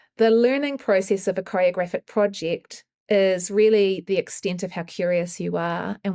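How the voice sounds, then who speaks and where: In a New Zealand accent, a woman talks at a moderate pace with a medium pitch. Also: very clean recording, silent background. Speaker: choreographer. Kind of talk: interview.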